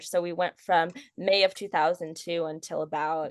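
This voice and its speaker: The woman talks at a fairly slow pace. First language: Hungarian. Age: 20s. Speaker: model and chronic illness patient. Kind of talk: interview conversation. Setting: podcast recording. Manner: halting, many fillers.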